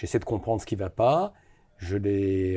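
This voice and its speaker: Over a silent background in a very clean recording, a man with a fairly low pitch speaks in a dark, mellow, somewhat breathy tone. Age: 60s. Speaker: business investor. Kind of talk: interview. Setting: studio.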